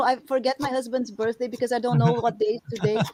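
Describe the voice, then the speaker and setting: A woman's high voice with a Brazilian Portuguese accent, recorded dry and close with no echo. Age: 40s. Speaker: artist and sculptor. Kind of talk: casual interview chat. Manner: animated.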